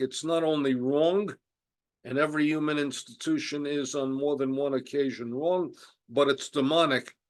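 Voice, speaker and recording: Against a quiet background, a man with a New York accent speaks in a fairly high pitch with fairly even intonation. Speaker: Holocaust scholar. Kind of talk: lecture.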